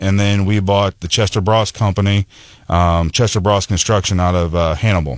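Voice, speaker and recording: A man with an American accent speaks at a fairly low pitch and a moderate pace with fairly even intonation, in a very clean recording with a silent background. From US Midwest, rural mid-Missouri. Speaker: construction company executive. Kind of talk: radio interview. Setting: radio studio.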